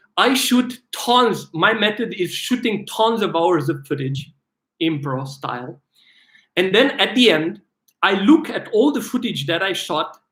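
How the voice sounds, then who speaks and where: A loud, animated man's voice, high-pitched with very wide pitch swings, at a fairly slow pace on a very clean recording with a silent background. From Romania. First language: Romanian. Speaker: filmmaker and actor. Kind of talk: live stream Q&A. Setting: livestream.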